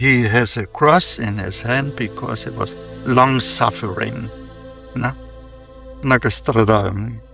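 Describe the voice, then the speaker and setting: Music plays in the background as a man speaks at a very slow pace, with long, frequent pauses. His pitch is medium and its variation ordinary. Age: 80s+. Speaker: monk. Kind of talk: interview answer. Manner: slow, reflective.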